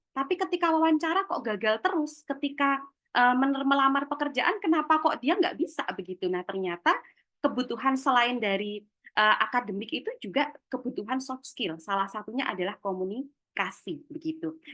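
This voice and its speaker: A woman's high-pitched voice, bright and sharp in tone, with very wide pitch swings at a fairly quick pace. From Java, Yogyakarta. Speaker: webinar speaker on career skills. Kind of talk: webinar talk. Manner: casual, chatty.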